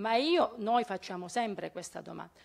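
A woman speaks in an ordinary speaking voice at a fairly high pitch. Her intonation is lively. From Calabria. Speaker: local activist. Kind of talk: audience question.

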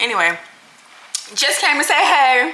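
Over light background noise, a woman's voice makes very wide pitch swings. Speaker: lifestyle vlogger. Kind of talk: casual vlog chat. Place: kitchen. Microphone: phone near.

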